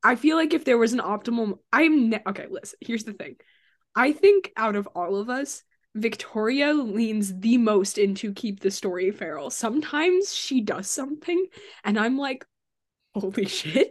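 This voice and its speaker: The speaker is a woman at a moderate pace. Her pitch swings very widely. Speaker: actor and editor on actual-play podcast. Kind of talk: casual chat.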